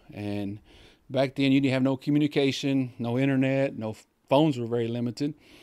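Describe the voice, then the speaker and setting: With a Texan accent, a man speaks fairly quickly in a dark, mellow tone and fairly even intonation over a quiet background. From Texas, Comanche County; Texas. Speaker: banker; podcast guest. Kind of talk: casual chat; interview answer. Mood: calm, warm. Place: studio. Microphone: studio mic.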